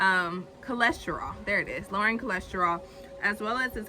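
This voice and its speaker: A woman at medium pitch and moderate pace, with ordinary pitch variation and noticeable background noise. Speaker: herbalist vlogger. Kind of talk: casual tutorial vlog. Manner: filler-heavy, halting.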